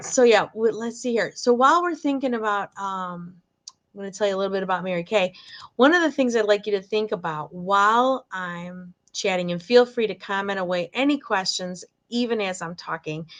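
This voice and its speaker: In a Michigan accent, a woman speaks at a moderate pace and a medium pitch with ordinary pitch variation against a quiet background. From Michigan, near Detroit. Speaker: direct sales director. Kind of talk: live sales presentation. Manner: casual, chatty with fillers.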